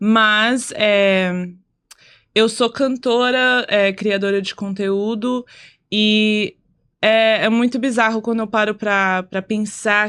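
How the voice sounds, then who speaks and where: Very slowly and in a monotone, flat intonation, a woman speaks at a fairly high pitch. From United States. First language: English (speaking Portuguese). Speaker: singer and content creator. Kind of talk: casual podcast chat.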